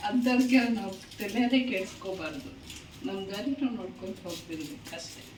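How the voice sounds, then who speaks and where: A woman speaks with lively intonation and big swings in loudness, with audible room echo and noticeable background noise. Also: medium pitch for a woman. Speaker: cooking vlogger. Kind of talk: cooking tutorial.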